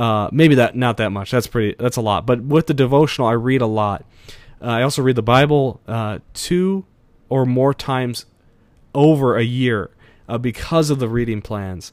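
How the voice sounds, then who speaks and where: In a very clean recording with a silent background, a man talks at a moderate pace and medium pitch with ordinary pitch variation. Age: 20s. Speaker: podcast host. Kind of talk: casual solo talk. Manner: energetic.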